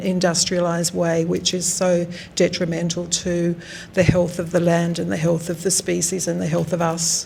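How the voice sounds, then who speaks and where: Speaking with an Australian accent, a woman keeps a fairly low pitch and a monotone, flat intonation at a moderate pace. Noticeable background noise is present. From South Australia, Riverland. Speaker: artist. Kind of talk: artist talk. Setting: gallery with audience. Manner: hesitant, many fillers.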